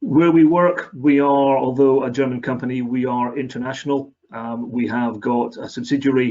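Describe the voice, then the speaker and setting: A man speaks in a Scottish accent. His pitch sits in the medium range. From Scotland. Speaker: company area manager. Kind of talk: webinar presentation.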